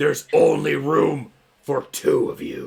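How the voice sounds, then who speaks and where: Growling in a put-on character voice, a man talks at a fairly slow pace. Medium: actual play. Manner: gleeful menace.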